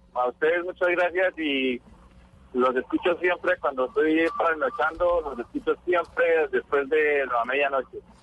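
Against noticeable background noise, a man with a fairly high voice speaks fairly slowly, with ordinary pitch variation. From Colombia. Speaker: truck driver. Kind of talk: radio call-in.

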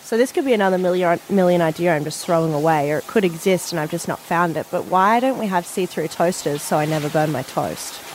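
A woman with an Australian accent talks at a very fast pace with hardly any pauses, in a fairly low voice with ordinary pitch variation, over noticeable background noise. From Far North Queensland, Australia. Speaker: station receptionist, co-host. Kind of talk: casual chat.

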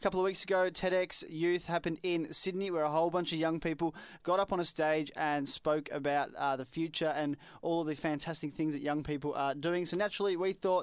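A man with an Australian accent, high-pitched, at a fairly quick pace and fairly even intonation, on a very clean recording with a silent background. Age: 20s. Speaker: community radio co-host. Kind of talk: casual chat and interview. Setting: studio. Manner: mumbles a bit.

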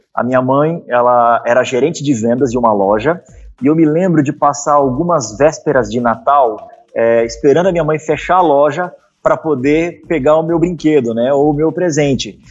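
A man with a fairly high pitch speaks at a moderate pace with ordinary pitch variation, music playing in the background. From Curitiba, southern Brazil. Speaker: sales startup founder and teacher. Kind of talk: casual interview.

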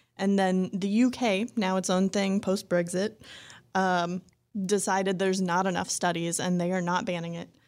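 Over a silent background in a very clean recording, a woman talks at a moderate pace in a medium pitch with monotone, flat intonation. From North Dakota. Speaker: attorney. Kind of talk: casual chat. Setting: studio.

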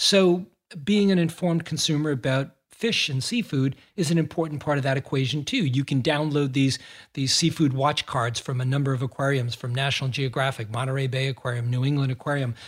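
A man's fairly high, somewhat breathy voice with an American accent, ordinary pitch variation and a fairly quick pace, in a very clean recording with a silent background. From Massachusetts, US. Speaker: underwater photographer and explorer. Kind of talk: interview.

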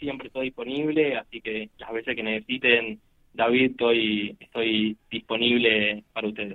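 This is a plain, everyday voice from a man at a medium pitch. He speaks at a moderate pace with ordinary pitch variation. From Argentina. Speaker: poker industry businessman, former pro player. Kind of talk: interview.

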